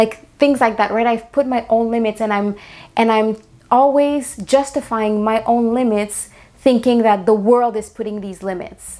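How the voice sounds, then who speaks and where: A woman with a fairly high pitch and a dark, mellow tone speaks at a moderate pace. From Latin America. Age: 30s. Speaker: podcast host and actress. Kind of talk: motivational podcast monologue. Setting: home living room. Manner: animated.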